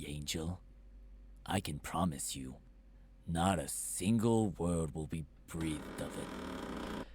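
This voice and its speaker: A man puts on a character voice, very deep and low in pitch, with lively intonation, a fairly slow pace and long, frequent pauses against clear background noise. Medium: game stream. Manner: pushy, crude.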